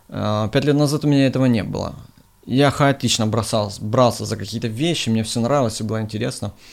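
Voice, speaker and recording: Pitch shifts in an ordinary way as the words come fairly quickly. It is a plain, everyday voice. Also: man, medium pitch for a man. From eastern Ukraine, Donetsk region. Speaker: music PR agency owner. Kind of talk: interview.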